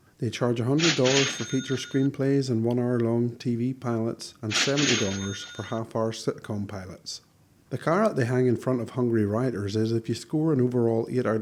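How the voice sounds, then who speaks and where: Speaking in a Northern Irish accent, a man talks at a fairly quick pace and medium pitch with fairly even intonation and hardly any pauses, over noticeable background noise. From Northern Ireland. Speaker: screenwriter and video blogger. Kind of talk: casual scripted monologue.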